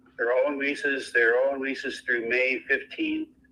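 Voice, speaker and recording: Background noise is clearly audible. Over it, a man talks at a moderate tempo. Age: 60s. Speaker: landlord selling property. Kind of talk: phone negotiation. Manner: blunt, casual.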